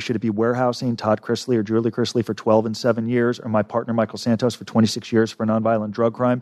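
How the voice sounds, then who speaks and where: In an American accent, a man talks at a very fast pace and medium pitch with monotone, flat intonation, the sound dry and close with no echo. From Los Angeles, California. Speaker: prison consultant and author. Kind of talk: interview.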